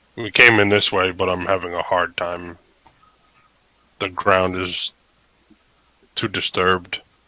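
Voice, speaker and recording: A put-on, raspy character voice, flat and monotone, fairly slow, with long, frequent pauses. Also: man, very deep, low pitch for a man. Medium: actual play. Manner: terse, blunt.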